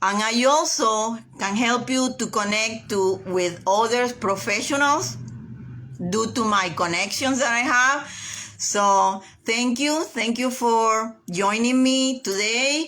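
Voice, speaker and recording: A woman with a non-native accent speaks at a very slow pace and a fairly high pitch, with ordinary pitch variation and very even loudness. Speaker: realtor reading a self-help book. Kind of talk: reading aloud and casual livestream talk. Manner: hesitant, many fillers and repetitions; enthusiastic.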